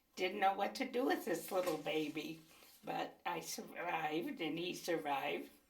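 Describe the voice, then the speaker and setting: A woman speaks at a moderate pace in a fairly low voice. The room echo is audible. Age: 80s+. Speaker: interviewee, mother. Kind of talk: oral history interview.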